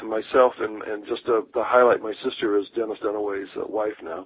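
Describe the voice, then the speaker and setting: With an American accent, a man speaks in an ordinary speaking voice at a moderate pace, using a medium pitch and fairly even intonation. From Akron, Ohio. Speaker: rock drummer. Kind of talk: interview.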